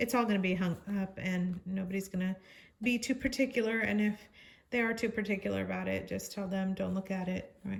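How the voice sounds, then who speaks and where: At a fairly quick pace, a woman talks in a somewhat breathy voice of medium pitch with fairly even intonation. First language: not English. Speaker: crafts channel host. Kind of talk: tutorial. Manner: halting.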